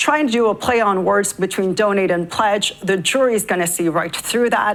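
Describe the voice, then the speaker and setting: A woman at a medium pitch and moderate pace with ordinary pitch variation. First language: not English. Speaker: legal commentator. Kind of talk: tv panel discussion.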